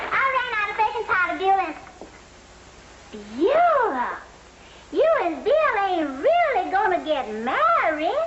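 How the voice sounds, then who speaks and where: A woman uses a put-on character voice, extremely high-pitched with very wide swings, at a fairly slow pace. Long, frequent pauses break it up over light background noise. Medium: old radio play. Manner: breathless, gushing.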